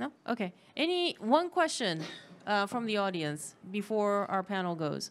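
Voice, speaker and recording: Here a woman talks at a fairly slow pace. Her pitch makes very wide swings. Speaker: panel moderator. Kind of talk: panel moderation. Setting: stage with audience. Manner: halting. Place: hall. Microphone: handheld.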